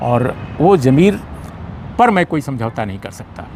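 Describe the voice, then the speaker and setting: The intonation is lively. There is noticeable background noise. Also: man. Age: 60s. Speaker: senior journalist. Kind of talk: interview. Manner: halting.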